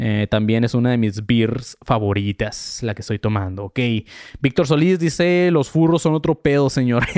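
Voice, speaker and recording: A man with a Mexican accent talks at a moderate pace with lively intonation, medium pitch and an animated tone. The sound is dry and close with no echo, over a quiet background. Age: 30s. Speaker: podcast host. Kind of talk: casual monologue, live stream. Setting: at home. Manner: halting, with fillers.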